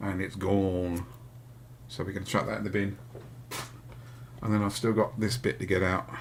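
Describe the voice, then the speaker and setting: A man with a Hampshire accent speaks at a moderate pace with a fairly low pitch, vocal fry and ordinary pitch variation. His tone is relaxed, and he takes long, frequent pauses. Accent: Hampshire accent, comes through somewhat. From southern England, Hampshire. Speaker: electronics repair youtuber. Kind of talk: live repair stream tutorial. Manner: casual, relaxed.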